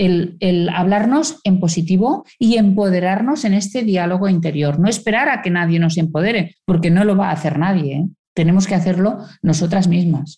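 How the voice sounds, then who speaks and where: A woman with a dark, mellow tone and a somewhat breathy voice speaks at a moderate pace in a medium pitch, with ordinary pitch variation and very even loudness. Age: 60s. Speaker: communication consultant and author. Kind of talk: interview.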